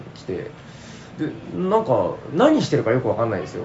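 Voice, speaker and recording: A man talks at a moderate tempo while noticeable background noise and audible room echo fill the recording. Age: middle-aged. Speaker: podcast host. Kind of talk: casual chat. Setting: convention hall.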